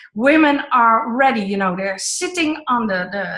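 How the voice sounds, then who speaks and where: An unremarkable speaking voice from a woman, fairly high in pitch, with lively intonation and a fairly slow pace. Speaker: online event host, co-founder of women's network. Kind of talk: online group call.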